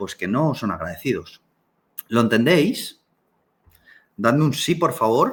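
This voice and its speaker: Speaking very slowly with long, frequent pauses, a man uses vocal fry while his pitch swings very widely. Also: medium pitch for a man. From Canary Islands, Tenerife. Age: 30s. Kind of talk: live online talk. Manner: animated.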